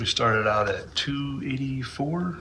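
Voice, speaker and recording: With an American accent, a man talks very slowly in a bright, sharp tone with lively intonation, and there is audible room echo. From Utah (Moab). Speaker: Air Force serviceman, vlogger. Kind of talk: casual monologue.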